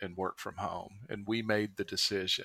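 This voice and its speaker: On a very clean recording with a silent background, a man speaks in a fairly low pitch with a bright, sharp tone. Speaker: podcast host. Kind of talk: casual chat.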